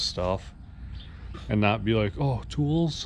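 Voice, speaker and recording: This man has a plain, everyday voice at a medium pitch. He speaks at a fairly slow pace with lively intonation. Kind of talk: casual talk to camera.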